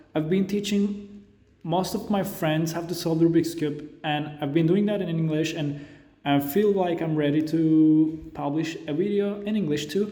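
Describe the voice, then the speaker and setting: A man with a non-native accent speaks at a moderate pace, his pitch high and his intonation fairly even. Audible room echo and noticeable background noise are present. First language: not English. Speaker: Rubik's cube tutorial creator. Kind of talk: tutorial. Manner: halting.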